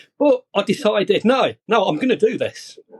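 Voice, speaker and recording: Recorded with a dry, close sound and no echo, a man with a British accent talks at a moderate pace, his pitch swinging very widely. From UK. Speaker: copywriter. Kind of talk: podcast interview.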